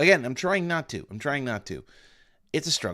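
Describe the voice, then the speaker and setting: In a very clean recording with a silent background, a man speaks with vocal fry and very wide pitch swings. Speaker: gaming streamer. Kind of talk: live stream commentary.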